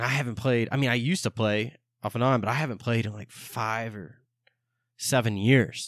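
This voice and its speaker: In an ordinary speaking voice, a man talks at a fairly quick pace and medium pitch, with ordinary pitch variation, big swings in loudness and a quiet background. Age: 20s. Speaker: podcast host. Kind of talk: casual solo monologue.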